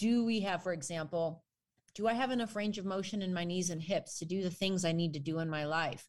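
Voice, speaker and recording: A woman with an American accent speaks at medium pitch in an unremarkable speaking voice. The recording is very clean, with a silent background. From US Midwest, Chicago northwestern suburbs. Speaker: exercise scientist and personal trainer. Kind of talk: casual chat.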